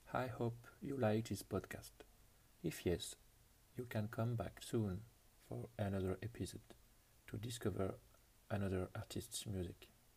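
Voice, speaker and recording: A man with a French accent, a dark, mellow tone and vocal fry, fairly low in pitch, at a fairly slow pace with long, frequent pauses and ordinary pitch variation. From France. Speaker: podcast host. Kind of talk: music show presentation.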